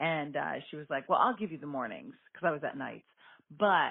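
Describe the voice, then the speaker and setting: The speaker is a woman. She goes at a moderate pace. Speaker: radio host. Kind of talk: casual chat. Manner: animated.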